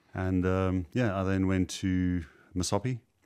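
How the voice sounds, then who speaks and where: On a very clean recording with a silent background, a man with a South African accent speaks at a very deep, low pitch. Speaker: property investor, former IT contractor. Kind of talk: interview. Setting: studio. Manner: hesitant, many fillers.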